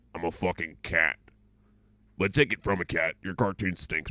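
The speaker uses a put-on character voice at a moderate pace. The recording is very clean with a silent background. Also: man, very deep, low pitch for a man. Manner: blunt, dismissive, profane.

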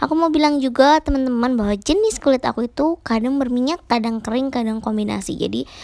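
A woman talks with a high pitch and ordinary pitch variation. The background is quiet. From Indonesia. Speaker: beauty vlogger. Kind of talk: tutorial. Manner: casual, chatty.

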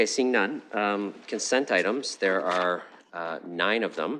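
There is light background noise behind a man's speech. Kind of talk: formal meeting chairing. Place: hall.

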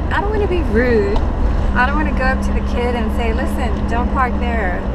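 Amid loud background noise, a woman talks at a moderate pace. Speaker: vlogger. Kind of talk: casual vlog chat. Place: car. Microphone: phone near.

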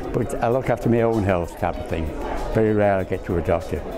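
The speaking pace is moderate. Clear music can be heard behind the voice. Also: man. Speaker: award runner-up. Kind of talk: interview answer. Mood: warm, pleased, amazed. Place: hall.

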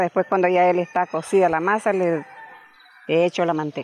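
Dry sound without echo, faint music in the background. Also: woman. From Nicaragua. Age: 70s. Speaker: traditional cook. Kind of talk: interview. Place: garden. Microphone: handheld.

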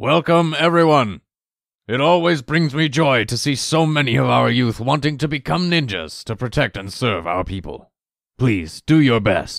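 Very wide pitch swings at a moderate pace, in a very clean recording with a silent background. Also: man, medium pitch for a man. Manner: calm, authoritative.

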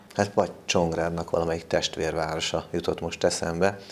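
Light background noise sits under the recording. The speech moves at a very fast pace. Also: man. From Hungary. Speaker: local TV reporter and interviewer; local TV reporter, interviewer. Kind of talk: studio interview. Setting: TV studio. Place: studio. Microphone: lapel.

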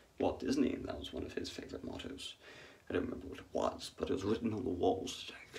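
A man's very fast whispering with big swings in loudness. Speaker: vlogger. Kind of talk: casual monologue. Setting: hotel room at night. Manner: quiet, soft-spoken. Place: bathroom. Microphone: phone near.

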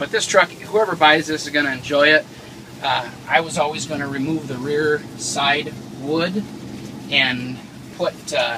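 A man's speech full of long, frequent pauses, over noticeable background noise. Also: ordinary pitch variation, fairly slow pace. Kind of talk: casual walkaround commentary. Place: car. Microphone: phone near.

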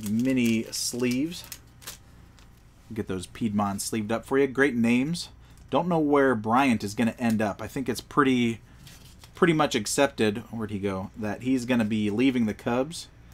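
In an American accent, this speaker uses a normal speaking voice with ordinary pitch variation at a moderate pace. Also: man, medium pitch for a man. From Pennsylvania roots, grew up elsewhere in US. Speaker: trading card seller and pack opener. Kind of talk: livestream pack opening. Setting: home card room livestream. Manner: casual, upbeat.

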